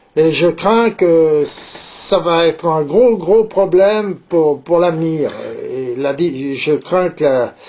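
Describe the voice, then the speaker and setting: Against noticeable background noise, a man with a fairly high pitch and ordinary pitch variation speaks at a very slow pace. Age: 70s. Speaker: saddler, leather craftsman. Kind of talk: interview. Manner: hesitant, many filler words and repetitions.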